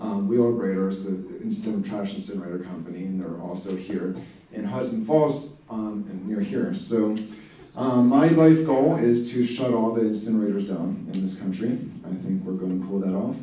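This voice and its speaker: With an American accent, a man speaks at a moderate pace and fairly low pitch with ordinary pitch variation, amid noticeable background noise and audible room echo. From Philadelphia area, US. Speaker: environmental activist. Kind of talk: presentation to community group.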